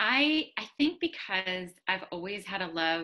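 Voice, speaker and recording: A woman's bright, sharp voice. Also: quiet background. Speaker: guest. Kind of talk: interview answer. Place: home room. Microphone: video call.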